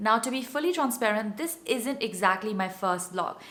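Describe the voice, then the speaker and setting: A woman at a fairly quick pace, against noticeable background noise. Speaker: blogger. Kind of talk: casual talk to camera.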